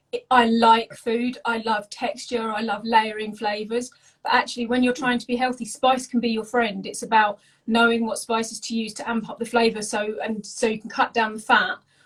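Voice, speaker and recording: Speaking in an English accent at a moderate pace, a woman has a fairly high voice and monotone, flat intonation. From England. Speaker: home cook and food content creator. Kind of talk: casual interview chat.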